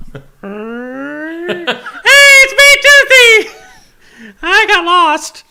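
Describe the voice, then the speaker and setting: This is a put-on character voice with an extremely high pitch and very wide pitch swings. It moves at a very slow pace with hardly any pauses. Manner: cheerful, lost.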